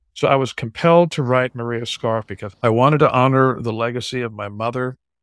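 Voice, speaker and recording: A plain, everyday voice from a man at medium pitch, talking fairly quickly with fairly even intonation over a silent background in a very clean, dry, close recording with no echo. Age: 60s. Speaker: drummer and author. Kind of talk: interview.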